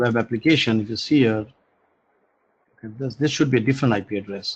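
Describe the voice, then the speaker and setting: There is little sound behind this man. His pitch moves up and down in a typical way. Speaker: programming instructor. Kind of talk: online lecture. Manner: halting.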